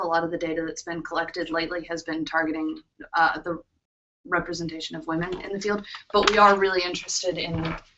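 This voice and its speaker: Over music in the background, a woman talks at a fairly quick pace with fairly low pitch and fairly even intonation. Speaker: graduate student representative of a minorities in philosophy group. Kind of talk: workshop presentation. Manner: fast.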